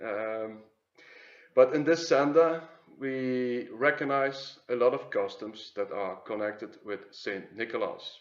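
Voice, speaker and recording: This man has a Flemish accent, a medium pitch and ordinary pitch variation. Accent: Flemish Dutch accent in English. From Flanders, Belgium. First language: Dutch. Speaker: YouTube commentator on symbols and mythology. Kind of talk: video commentary. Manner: hesitant, many filler sounds.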